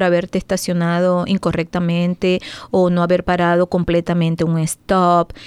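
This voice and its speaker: A woman speaks with a plain, everyday voice at medium pitch. Her pace is moderate and the background is quiet. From Venezuela. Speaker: driving school and licensing services owner. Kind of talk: radio interview. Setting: studio.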